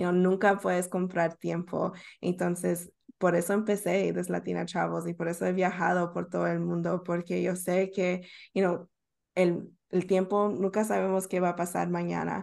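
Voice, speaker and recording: A woman talks at a moderate pace. Behind her, the background is quiet. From Northern Virginia, US (Bolivian-born). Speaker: travel content creator. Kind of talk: casual interview.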